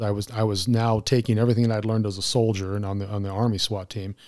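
In a very clean recording with a silent background, a man with a Southwestern US accent speaks very fast in a fairly low, dark, mellow voice with monotone, flat intonation. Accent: American, Southwest. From Arizona, Mesa. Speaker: retired police officer. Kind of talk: casual chat.

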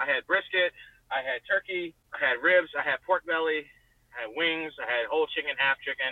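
An ordinary speaking voice from a man, fairly high in pitch, with an American accent, ordinary pitch variation and a fairly quick pace. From US South, Richmond, Virginia. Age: 20s. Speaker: truck driver and pitmaster. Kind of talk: casual interview. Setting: in a truck, driving (early part).

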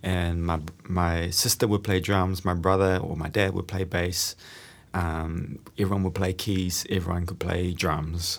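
Speaking fairly slowly with a New Zealand accent, a man uses a very deep, low pitch and monotone, flat intonation. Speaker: guitarist and online music creator. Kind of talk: casual interview chat. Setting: rehearsal space. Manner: calm, relaxed.

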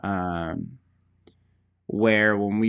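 The recording is very clean, with a silent background. A man speaks in a fairly low pitch with monotone, flat intonation. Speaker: podcast co-host. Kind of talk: casual chat. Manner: casual, filler-heavy.

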